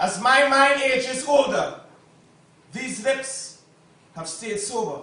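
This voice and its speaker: A man speaks very slowly in a raised, projected voice, extremely high in pitch with ordinary pitch variation. His loudness swings widely, and he takes long, frequent pauses. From Trinidad and Tobago. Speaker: spoken word poet. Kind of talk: live spoken word poetry performance. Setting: live on stage at a poetry cafe.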